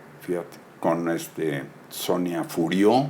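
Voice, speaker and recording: A man with a very deep, low pitch speaks with lively intonation. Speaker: film actor and director. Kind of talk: interview.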